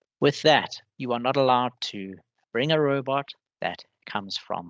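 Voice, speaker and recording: A man's bright, sharp voice at medium pitch, with a dry, close sound, no echo, and a quiet background. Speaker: webinar presenter for robotics competition. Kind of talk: webinar presentation. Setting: online webinar.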